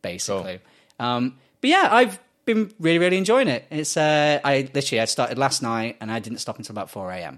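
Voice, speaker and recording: In a very clean recording with a silent background, a man with an English accent speaks in a fairly high voice, with very wide pitch swings and big swings in loudness. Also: fairly quick pace. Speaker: podcast co-host. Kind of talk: casual chat.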